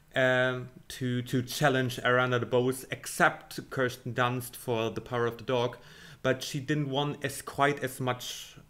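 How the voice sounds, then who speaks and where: A man's medium-pitched voice in a German accent, fairly slow and monotone, with flat intonation. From Germany. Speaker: film commentator / video creator. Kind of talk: casual monologue, predictions. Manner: halting, many fillers.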